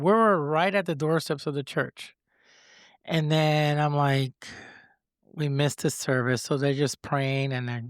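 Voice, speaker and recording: A man with a Spanish accent speaks at a fairly slow pace and a fairly high pitch in a very clean recording with a silent background. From Puerto Rico. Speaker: guest sharing faith story. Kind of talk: testimony. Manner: halting, stutters over words.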